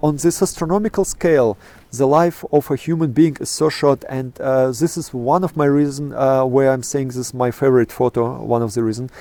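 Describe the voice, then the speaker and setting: Using a Russian accent, a man with a medium pitch and a dark, mellow tone speaks at a fairly quick pace with ordinary pitch variation. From Kazakhstan. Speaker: astrophotographer. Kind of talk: interview. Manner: halting, many fillers.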